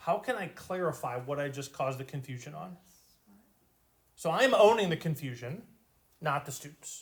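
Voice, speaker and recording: A man with a fairly high pitch and vocal fry talks at a moderate pace with lively intonation, big swings in loudness, and long, frequent pauses. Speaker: math teacher. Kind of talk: lecture. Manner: slurred at times.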